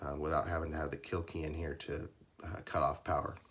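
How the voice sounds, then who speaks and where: A man's very deep, low voice, somewhat breathy, in a monotone, flat intonation. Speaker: custom lightsaber maker. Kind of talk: product demo tutorial. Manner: hesitant, many fillers.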